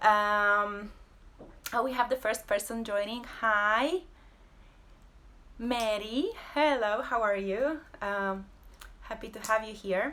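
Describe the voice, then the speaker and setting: A woman with a Polish accent, her pitch fairly high with ordinary variation, a bright, sharp tone, a very slow pace, long, frequent pauses and big swings in loudness. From Poland. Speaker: abstract painter and creative entrepreneur. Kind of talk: casual live-stream talk. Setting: home, social media live video. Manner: halting, many fillers.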